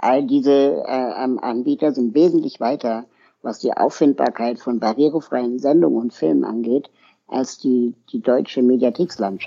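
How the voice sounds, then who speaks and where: Using an ordinary speaking voice, a man talks at a fairly slow pace in a medium pitch with ordinary pitch variation. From Berlin, Germany. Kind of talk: interview.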